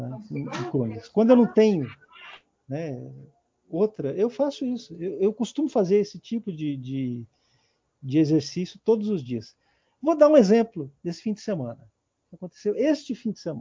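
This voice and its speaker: A man talks at a moderate pace with a high pitch and very wide pitch swings. Long, frequent pauses break up his speech. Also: big swings in loudness. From São Paulo, Brazil. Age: 50s. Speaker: writer and journalist. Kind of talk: interview. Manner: halting, with many repetitions.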